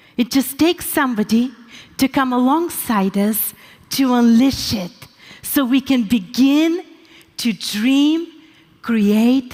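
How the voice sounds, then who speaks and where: A woman speaks very slowly with a Bulgarian accent. Her intonation is lively. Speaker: pastor. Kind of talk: conference talk.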